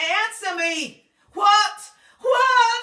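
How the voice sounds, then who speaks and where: Shouting in a put-on character voice, a woman sounds squeaky with an extremely high pitch. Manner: yelling, demanding.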